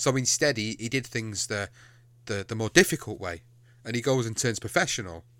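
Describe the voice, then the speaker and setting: Speaking with an English accent, a man has a bright, sharp tone at medium pitch with ordinary pitch variation and a fairly quick pace. The recording is very clean, with a silent background. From England. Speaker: podcast host. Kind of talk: casual chat.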